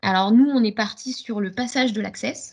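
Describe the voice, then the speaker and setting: Somewhat breathy, a woman's fairly high voice moves with ordinary pitch variation. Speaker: gymnastics club coach. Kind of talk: webinar presentation. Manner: fast.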